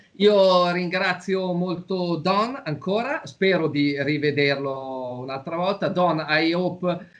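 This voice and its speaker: A man speaks with an Italian accent, his voice pitched high for a man. His pitch rises and falls in an ordinary way. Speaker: talk show host. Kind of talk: interview. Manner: halting.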